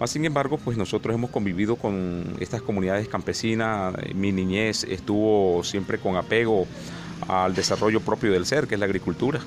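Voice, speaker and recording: A man speaks with a fairly low pitch at a moderate pace. Ordinary pitch variation comes through amid noticeable background noise. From Colombian Caribbean (Sierra Nevada de Santa Marta / Valledupar). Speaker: social leader. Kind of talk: research interview. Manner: hesitant, many fillers.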